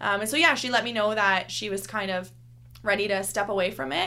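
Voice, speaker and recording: The tone is bright and sharp, with vocal fry running through it. Delivery is fairly quick, with ordinary pitch variation. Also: woman. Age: 20s. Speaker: fitness instructor. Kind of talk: interview.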